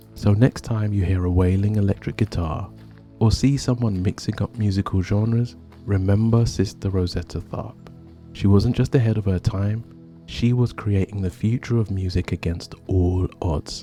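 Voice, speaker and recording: Music plays in the background as a man talks at a moderate pace in a fairly low pitch. His tone is calm, with fairly even intonation. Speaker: history podcaster. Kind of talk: storytelling narration. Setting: outdoors.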